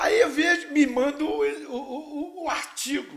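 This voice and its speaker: This man speaks at an extremely high pitch. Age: 70s. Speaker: physical education professor. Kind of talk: casual podcast chat. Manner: animated.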